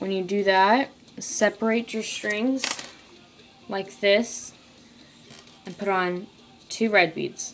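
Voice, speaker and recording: The speech moves at a very slow pace with long, frequent pauses and fairly even intonation over light background noise. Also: woman. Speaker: craft tutorial maker. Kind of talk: tutorial. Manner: halting. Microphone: phone near.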